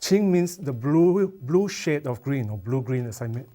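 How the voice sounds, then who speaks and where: In a Chinese accent, a man with a dark, mellow tone and medium pitch speaks at a fairly slow pace. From Malaysia. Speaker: watercolour artist. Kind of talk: art demonstration tutorial.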